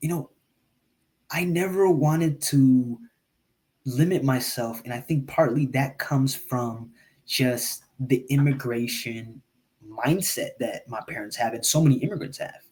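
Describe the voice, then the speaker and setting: Somewhat breathy and medium in pitch, a man speaks at a fairly slow pace with ordinary pitch variation. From Eritrea, raised in the US. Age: 20s. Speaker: podcast guest, engineer and podcaster. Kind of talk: casual interview conversation. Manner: hesitant, many fillers and repeats.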